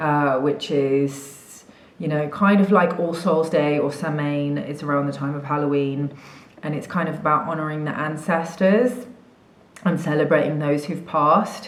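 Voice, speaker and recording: A woman with an English accent speaks at a moderate pace and a very deep, low pitch with ordinary pitch variation, amid audible room echo and noticeable background noise. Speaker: spiritual coach. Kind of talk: casual vlog chat. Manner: casual, many fillers.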